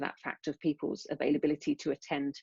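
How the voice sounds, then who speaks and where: Dry and close with no echo, a woman with a British accent speaks at a very deep, low pitch and a fairly quick pace. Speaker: neuroscience researcher. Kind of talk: lecture. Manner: fast.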